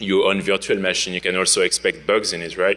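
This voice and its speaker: Speaking with a French accent, the man keeps a moderate pace. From France. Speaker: security researcher, conference speaker. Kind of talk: conference talk. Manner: casual, many fillers.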